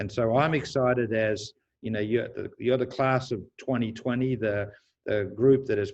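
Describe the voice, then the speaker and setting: Over a quiet background, a man with an Australian accent talks at a medium pitch with fairly even intonation. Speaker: university president. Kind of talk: panel talk to incoming students.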